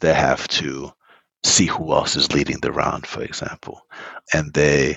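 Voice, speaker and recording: A man talks at a moderate pace. His voice is very deep and low, with vocal fry. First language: Spanish. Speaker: startup founder. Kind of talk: interview.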